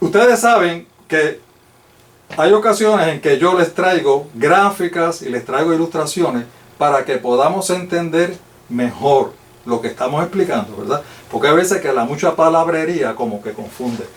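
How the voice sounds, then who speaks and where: Amid noticeable background noise, a man at a high pitch talks at a moderate pace with lively intonation. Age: 60s. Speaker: lay Bible teacher. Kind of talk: Bible study lecture.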